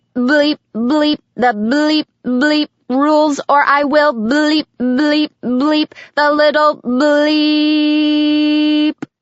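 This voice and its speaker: A woman uses a put-on, robotic character voice, high in pitch and very slow in pace. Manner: flat, mechanical.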